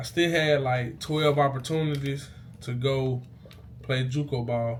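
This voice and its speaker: The delivery has an animated tone. Audible room echo surrounds the voice. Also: man. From Mississippi, US South. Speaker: YouTuber, former college football player. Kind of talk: casual vlog storytelling. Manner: casual, animated; stuttering, halting.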